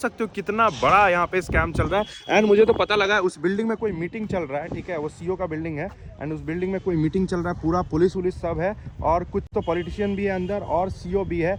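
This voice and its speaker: Noticeable background noise sits behind a man's high voice. His intonation is fairly even. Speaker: vlogger. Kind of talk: vlog narration. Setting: outdoors at police station.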